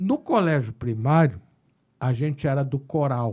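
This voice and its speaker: A man's dark, mellow, somewhat breathy voice against a quiet background. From Rio Grande do Sul, Brazil (Pelotas). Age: 60s. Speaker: psychiatrist. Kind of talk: casual chat.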